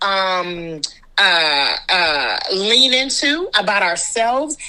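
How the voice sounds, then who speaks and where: A woman speaks in an American accent at a medium pitch with a bright, sharp tone. She goes very slowly, with very wide pitch swings. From Washington, DC, USA. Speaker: actor, director and storyteller. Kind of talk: interview answer.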